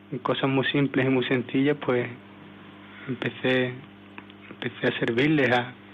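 Against noticeable background noise, a man talks with monotone, flat intonation. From Seville, Spain. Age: 20s. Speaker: missionary volunteer. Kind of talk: testimony. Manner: halting.

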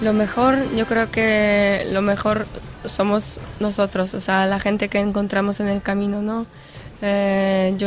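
Monotone, flat delivery at a very slow pace in a Polish accent, over noticeable background noise. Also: woman. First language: Polish (speaking Spanish). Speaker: volunteer coordinator. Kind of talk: interview. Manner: halting.

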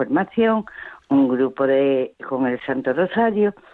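A woman's voice with lively intonation. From Seville, Spain. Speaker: radio caller. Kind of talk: phone-in call.

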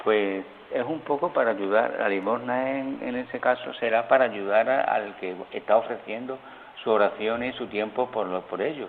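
A man with an Andalusian accent at a moderate pace, with noticeable background noise. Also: medium pitch for a man, ordinary pitch variation. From rural Seville province, Andalusia. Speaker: friar. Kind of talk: phone interview. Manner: halting.

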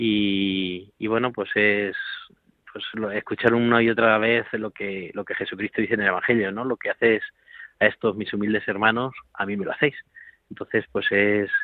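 Here a man talks at a moderate pace with a fairly low pitch and monotone, flat intonation. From Spain (Toledo province). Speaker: priest, care home director. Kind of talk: radio interview.

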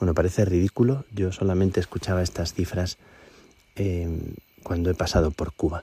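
A man speaks with a very deep, low pitch and a dark, mellow, somewhat breathy tone at a moderate pace and fairly even intonation. The sound is dry and close with no echo, on a very clean recording with a silent background. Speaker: priest. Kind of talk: radio report. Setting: outdoors at night on a mountain.

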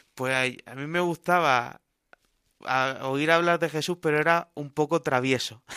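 This man speaks at a fairly slow pace with fairly even intonation and a bright, sharp tone. The recording is very clean and dry, with a close sound, no echo and a silent background. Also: fairly high pitch for a man. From Cartagena, Spain. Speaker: missionary priest. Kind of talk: radio interview.

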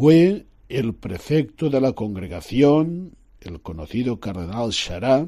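Very slow speech in a dark, mellow tone swings very widely in pitch. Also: man. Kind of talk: religious radio talk. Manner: formal.

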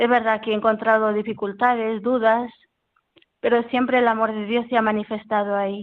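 In a monotone, flat intonation, a woman with a fairly high pitch speaks at a moderate pace. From Peru. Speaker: cloistered nun. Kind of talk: interview testimony. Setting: phone call.

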